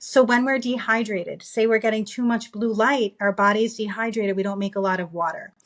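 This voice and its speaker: At a fairly quick pace, a woman with a New York accent talks at a fairly high pitch, with ordinary pitch variation. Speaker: optometrist. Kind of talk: interview. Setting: podcast. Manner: fast.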